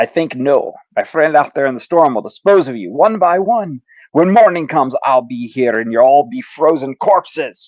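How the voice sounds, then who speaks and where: A man puts on a growling character voice in a French Canadian accent, with a fairly high pitch and very wide pitch swings. His loudness swings widely and his pace is moderate. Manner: contemptuous, snarling.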